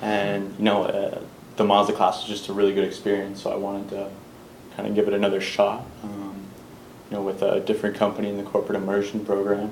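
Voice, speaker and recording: A man's fairly low, monotone voice with flat intonation, in an American accent at a very fast pace, with audible room echo and noticeable background noise. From Massachusetts, Wellesley. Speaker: student entrepreneur. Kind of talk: class introduction.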